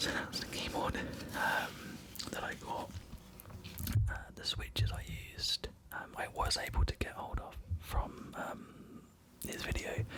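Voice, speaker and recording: A man whispers in a relaxed tone at a very slow pace, with long, frequent pauses. Noticeable background noise is present. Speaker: ASMR creator. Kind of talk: casual talk to camera, showing items. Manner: relaxed, soft, conversational.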